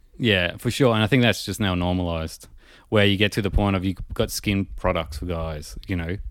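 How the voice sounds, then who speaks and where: This man has a very deep, low pitch and talks at a moderate pace. The recording is very clean, with a silent background. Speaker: podcast host. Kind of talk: casual banter podcast chat. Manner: cynical, deadpan, swears a lot.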